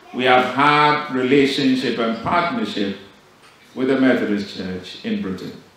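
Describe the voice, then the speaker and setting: Strong room echo surrounds this voice. A man speaks with lively intonation. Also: fairly slow pace. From Ghana. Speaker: bishop. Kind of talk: formal church address. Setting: church service. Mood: solemn, celebratory. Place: church. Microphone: podium.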